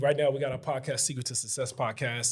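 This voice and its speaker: A man's somewhat breathy voice at a fairly quick pace, in a very clean recording with a silent background. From Chicago. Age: 40s. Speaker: real estate investor. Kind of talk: casual chat. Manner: animated.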